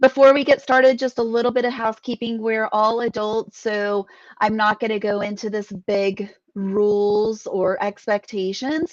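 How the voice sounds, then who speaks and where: A woman's normal speaking voice, fairly high in pitch, with fairly even intonation at a moderate pace, dry and close with no echo. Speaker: business mindset coach. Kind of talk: live online training. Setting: live stream.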